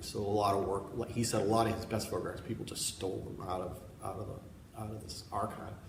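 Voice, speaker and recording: Noticeable background noise and audible room echo surround a man with an American accent. He speaks at a very fast pace with a fairly low pitch. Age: 60s. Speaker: painter. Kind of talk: artist talk interview. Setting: gallery with audience. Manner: halting, with many repetitions. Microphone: laptop mic, poor recording.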